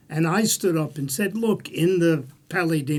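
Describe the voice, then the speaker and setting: With a Bronx accent, a man talks at a fairly high pitch and a moderate pace with ordinary pitch variation, in a very clean recording with a silent background. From US, the Bronx, New York. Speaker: political analyst. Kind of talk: panel discussion. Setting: studio.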